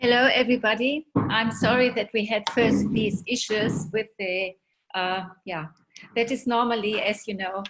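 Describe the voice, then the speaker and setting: A woman with a German accent talks at a moderate pace in a fairly high pitch. Her intonation stays fairly even. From Germany. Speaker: guest speaker, doctor. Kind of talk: presentation. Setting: video webinar. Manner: hesitant, many fillers.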